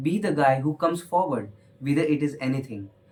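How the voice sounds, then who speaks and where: This man has an Indian accent and a fairly high pitch. He talks at a moderate pace with fairly even intonation. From India, Hindi-speaking household. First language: Hindi. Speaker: motivational speaker. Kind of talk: motivational talk. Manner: hesitant, frequent fillers.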